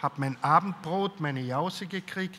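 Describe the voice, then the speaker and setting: A man's pitch varies in an ordinary way as he talks at a very slow pace. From Austria, Carinthia. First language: German (speaking French). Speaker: writer; author on a panel. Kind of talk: interview answers at a public talk. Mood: calm, reflective storytelling. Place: hall. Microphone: handheld.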